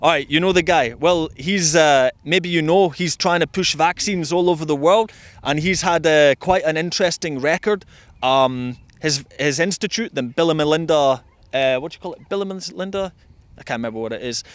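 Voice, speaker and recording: A man with a Scottish accent, fairly high-pitched, at a moderate pace with ordinary pitch variation. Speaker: street interviewer. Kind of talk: street interview. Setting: outdoors in a park.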